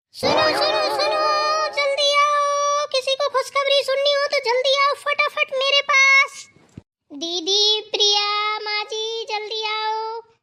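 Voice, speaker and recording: A woman shouts in a put-on character voice, extremely high-pitched, raised and projected, at a very slow pace. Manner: shouting excitedly.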